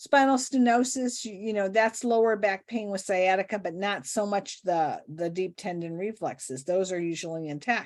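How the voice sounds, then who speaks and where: Recorded very cleanly against a silent background, a woman with an unremarkable speaking voice talks at a moderate pace in a medium pitch, with lively intonation and hardly any pauses. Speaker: nurse practitioner podcast co-host. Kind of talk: casual clinical case discussion.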